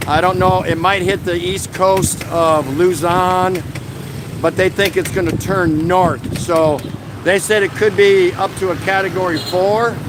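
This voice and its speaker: Through noticeable background noise, a man speaks in a high pitch with an American accent. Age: 60s. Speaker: vlogger. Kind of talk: live stream chat. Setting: outdoors, street. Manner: casual, conversational.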